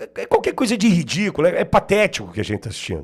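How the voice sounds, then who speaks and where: Animated in tone, a man speaks with a high pitch. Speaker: political commentator. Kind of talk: political commentary.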